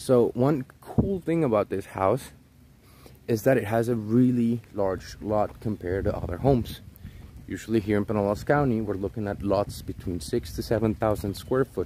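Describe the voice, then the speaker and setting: A man speaks at a moderate pace with a fairly low pitch and ordinary pitch variation, in a dark, mellow tone. The sound is dry with no echo, and there is light background noise. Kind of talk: tour commentary. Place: street. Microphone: phone near.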